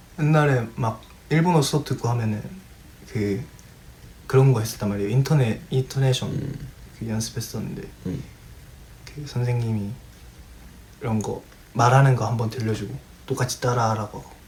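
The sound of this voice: A man with a Daegu accent at a moderate pace, with long, frequent pauses. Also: medium pitch for a man, ordinary pitch variation.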